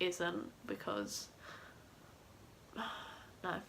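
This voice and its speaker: A woman speaks with a Southeast English accent. Noticeable background noise runs behind her. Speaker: mum vlogger. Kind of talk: casual talk to camera.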